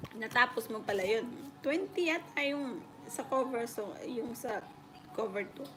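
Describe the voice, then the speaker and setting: A high-pitched woman's voice at a fairly slow pace, lively in intonation, over noticeable background noise. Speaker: livestreamer. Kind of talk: casual chat.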